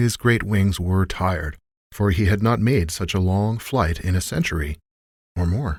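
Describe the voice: Quiet background, plain reading aloud, and ordinary pitch variation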